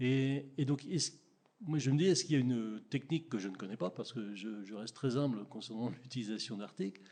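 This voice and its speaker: A man's medium-pitched voice, dark and mellow in tone, with lively intonation at a fairly quick pace. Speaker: audience member, software user; audience member. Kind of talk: audience question. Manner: halting. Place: meeting room.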